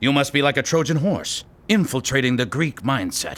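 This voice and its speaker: A man's cartoonish character voice, fairly high in pitch, at a moderate pace. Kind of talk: mock-epic mentor speech. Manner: solemn, grandiose, pseudo-profound.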